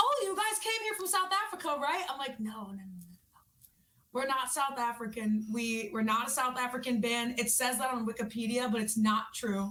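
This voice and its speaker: A woman speaks at a moderate pace in a slight New York accent, her pitch high. Her tone is bright and sharp, and her intonation is lively. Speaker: rock singer. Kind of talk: interview.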